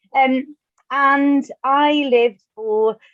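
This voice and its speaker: A woman speaks with a Welsh accent. Her pitch varies in an ordinary way. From Wales. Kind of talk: webinar talk.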